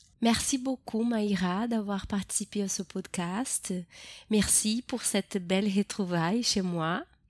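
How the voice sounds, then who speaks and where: With a Brazilian accent, a woman talks at a very slow pace and medium pitch with ordinary pitch variation, the recording very clean, dry and close with no echo and a silent background. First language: Portuguese (speaking French). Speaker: podcast host, French teacher and actress. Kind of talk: interview. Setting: home recording.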